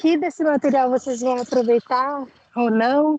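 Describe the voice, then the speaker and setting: Dry and close with no echo, a woman's high-pitched voice moves at a fairly slow pace with fairly even intonation. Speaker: cycling advocate at a public council meeting. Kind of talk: meeting discussion. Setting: outdoors.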